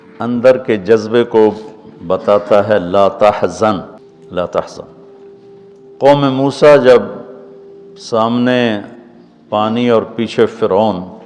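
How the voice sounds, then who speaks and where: A man at medium pitch with fairly even intonation, music playing in the background. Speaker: Islamic preacher giving a sermon. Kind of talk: religious sermon (bayan) retelling a historical story. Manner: emotional, preaching, expressive.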